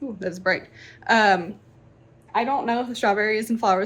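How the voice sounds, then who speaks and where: Her voice is medium-pitched and somewhat breathy, coming from a woman. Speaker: book vlogger. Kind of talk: casual vlog narration.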